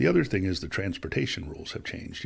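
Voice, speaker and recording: A man is speaking. His voice is somewhat breathy. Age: 50s. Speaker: business executive. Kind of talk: podcast interview. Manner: talkative.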